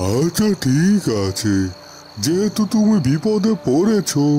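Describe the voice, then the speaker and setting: A cartoonish character voice from a man, fairly high in pitch with very wide pitch swings, at a fairly slow pace, over clear background noise. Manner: measured, gentle.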